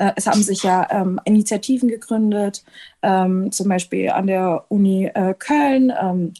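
A woman with a dark, mellow tone and medium pitch speaks somewhat breathily, her intonation fairly even. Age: 20s. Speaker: medical student and anti-racism activist. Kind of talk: interview.

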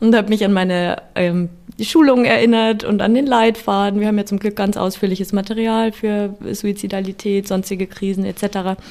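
A woman's normal speaking voice at medium pitch, with fairly even intonation and a moderate pace. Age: 20s. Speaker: psychologist and youth helpline counsellor. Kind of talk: interview.

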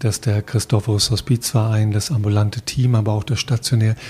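Somewhat breathy, a man with a dark, mellow tone at medium pitch speaks at a fairly quick pace. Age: 60s. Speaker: podcast interviewer, long-time hospice volunteer. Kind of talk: interview.

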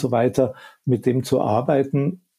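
Speaking at a very slow pace, the voice is somewhat breathy, with a dark, mellow tone. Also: man. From Upper Bavaria. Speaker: media professor. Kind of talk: expert interview. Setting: remote call.

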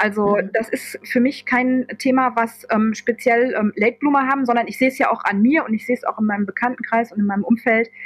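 A woman's high voice, very fast with hardly any pauses and fairly even intonation, against noticeable background noise. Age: 40s. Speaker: office clerk turned social pedagogy student. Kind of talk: casual interview chat. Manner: halting, many fillers.

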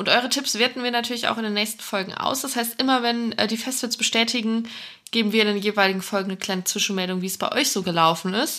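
Very fast and fairly even in intonation, a woman's fairly high, bright, sharp voice comes through on a very clean recording with a silent background. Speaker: festival podcast co-host. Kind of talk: casual chat.

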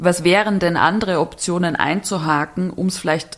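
A woman with a plain, everyday voice talks at a fairly quick pace and fairly low pitch, with fairly even intonation. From Bavaria, small village. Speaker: architect and writer. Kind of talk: casual interview.

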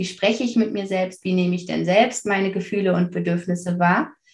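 A woman's somewhat breathy voice at a medium pitch. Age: 30s. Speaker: parenting coach. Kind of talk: casual interview.

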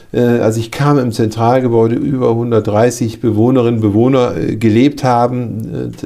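With noticeable background noise behind him, a man speaks at medium pitch with fairly even intonation. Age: 50s. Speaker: care home director. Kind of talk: interview.

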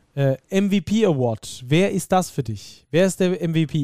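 At a very slow pace, a man speaks in a dark, mellow tone. The sound is dry and close with no echo. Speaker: basketball podcast host. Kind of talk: casual chat.

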